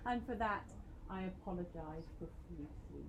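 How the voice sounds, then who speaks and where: This speaker has a British accent. The intonation is lively. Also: woman. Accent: very British. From Britain. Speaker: university lecturer. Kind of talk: lecture. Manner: animated.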